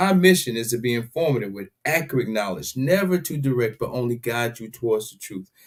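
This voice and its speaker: At a fairly quick pace, a man speaks in an animated tone at a medium pitch with ordinary pitch variation. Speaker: radio show host. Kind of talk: casual talk radio show. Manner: fast.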